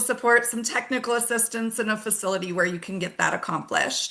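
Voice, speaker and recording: Ordinary pitch variation and a fairly quick pace from a woman with a fairly high pitch. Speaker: webinar host. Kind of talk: webinar presentation. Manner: fast.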